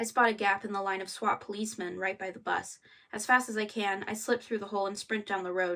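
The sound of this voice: The delivery is an unforced reading voice with fairly even intonation.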